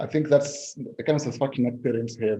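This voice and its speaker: Here a man's voice sounds somewhat breathy, with a dark, mellow tone. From Zambia. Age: 60s. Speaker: political scientist. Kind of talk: interview. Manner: halting.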